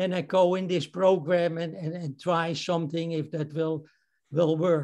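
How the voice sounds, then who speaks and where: A man's high-pitched, dark, mellow voice with a Dutch accent, at a moderate pace with fairly even intonation, against a quiet background. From Netherlands. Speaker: amateur photographer, club member. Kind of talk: photo presentation. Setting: video call. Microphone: video call.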